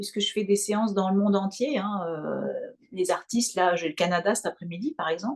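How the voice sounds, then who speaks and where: This woman's pitch sits in the medium range. She speaks at a moderate speed. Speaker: hypnotherapist and mental coach, opera singer. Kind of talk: interview.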